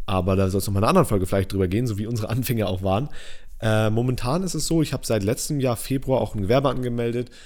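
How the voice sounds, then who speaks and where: A man's voice with a dark, mellow tone. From northern Germany. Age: 20s. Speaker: podcast host, videographer. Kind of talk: casual chat. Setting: studio, recorded on camera.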